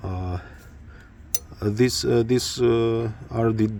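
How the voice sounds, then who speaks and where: With a Romanian accent, a man talks with fairly even intonation. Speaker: motorcycle hobbyist. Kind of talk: tutorial. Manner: halting, many fillers.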